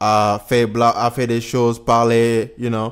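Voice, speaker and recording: A man with a Senegalese accent speaks very slowly at medium pitch in a very clean recording with a silent background. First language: Wolof (speaking French). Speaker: YouTuber, political commentator. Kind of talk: casual video commentary. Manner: halting, with fillers and English words.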